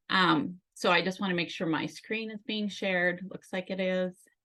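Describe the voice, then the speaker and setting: Against a quiet background, a woman with a Northern Minnesota accent talks at a moderate pace in a bright, sharp tone. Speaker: health and life coach for caregivers. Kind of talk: conference presentation.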